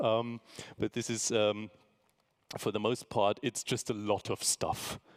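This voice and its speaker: At a fairly slow pace, the voice holds a monotone, flat intonation and very even loudness, the sound dry and close with no echo. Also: man, fairly low pitch for a man. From Germany. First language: German. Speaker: artist and lecturer. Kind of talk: lecture. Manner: hesitant, many fillers.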